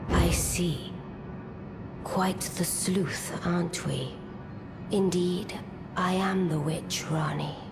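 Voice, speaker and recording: Over loud background noise, a put-on character voice at a middle pitch speaks at a very slow pace with long, frequent pauses. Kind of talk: archaic courtly speech. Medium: machinima. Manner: cool, haughty, measured.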